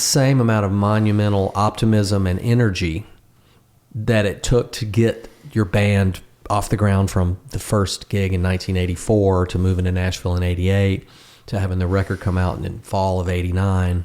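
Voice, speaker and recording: An unremarkable speaking voice at a moderate pace. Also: man. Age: 60s. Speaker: songwriter and guitarist. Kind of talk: casual chat.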